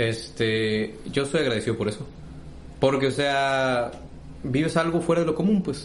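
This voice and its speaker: Speaking at a fairly slow pace with long, frequent pauses, a man with a fairly high voice is heard in a room with audible echo. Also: ordinary pitch variation. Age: 20s. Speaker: podcast co-host. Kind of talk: casual chat.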